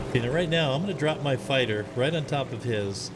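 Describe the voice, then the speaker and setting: Noticeable background noise and audible room echo fill the recording. A man speaks over them at a moderate pace. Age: 60s. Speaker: streamer, retired data center worker. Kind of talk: live gameplay commentary. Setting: live stream. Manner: casual, hesitant with fillers.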